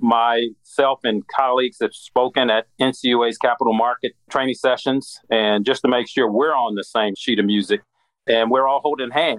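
A plain, everyday voice: a man of medium pitch with an American accent, moderate pace, and ordinary pitch variation. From US Midwest. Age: 60s. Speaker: former regulator, credit union strategist. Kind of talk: interview.

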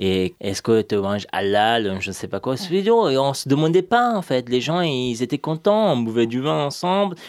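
The recording is very clean, with no sound behind the speaker. A man talks at a fairly slow pace. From Iran (Afghan refugee family). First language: Dari/Persian (speaking French). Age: 20s. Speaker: journalist. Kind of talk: testimony. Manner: halting.

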